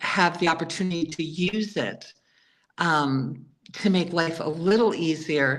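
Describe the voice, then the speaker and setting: This woman has a normal speaking voice pitched fairly low. Her pitch varies in an ordinary way. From New York City. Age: 60s. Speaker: author and former healthcare worker. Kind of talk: interview.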